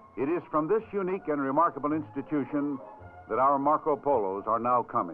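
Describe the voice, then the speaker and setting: With music in the background, a man of fairly high pitch talks at a moderate pace with lively intonation. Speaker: newsreel-style narrator and host. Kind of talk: promotional film narration, newsreel style.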